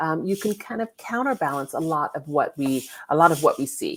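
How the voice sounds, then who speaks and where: A woman with an American accent speaks in an unremarkable speaking voice at a moderate pace with lively intonation. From California. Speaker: lawyer and law professor, digital safety consultant. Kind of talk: online summit interview.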